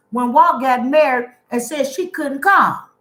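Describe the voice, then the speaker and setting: Raised and projected, a woman's high-pitched voice sounds animated, moving at a moderate pace with ordinary pitch variation. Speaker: youtuber. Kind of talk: casual chat. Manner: loud.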